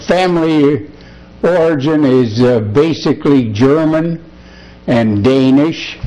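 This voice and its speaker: A man is speaking. His pace is very slow, with ordinary pitch variation. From US Midwest, Chicago area. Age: 80s+. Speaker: war veteran. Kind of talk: oral history interview. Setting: at his home. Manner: halting, many fillers.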